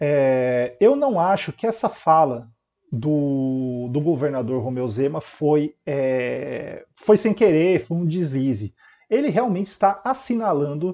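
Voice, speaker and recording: His tone is dark and mellow. The man's pitch ranges very widely. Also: quiet background. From Brazil. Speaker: consumer lawyer and commentator; consumer lawyer, commentator. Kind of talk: news reading and commentary. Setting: home webcam recording. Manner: hesitant, many filler words.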